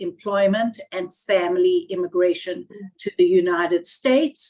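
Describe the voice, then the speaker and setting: A woman with a South African accent, fairly slow pace and ordinary pitch variation. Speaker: immigration lawyer. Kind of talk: webinar panel talk.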